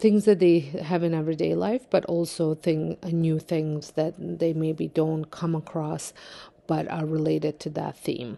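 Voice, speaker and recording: Against a quiet background, a woman with a non-native accent speaks at a fairly slow pace in a very deep, low pitch, with a dark, mellow tone and fairly even intonation. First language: not English. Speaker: home daycare provider and vlogger. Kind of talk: vlog narration. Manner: casual, with many fillers.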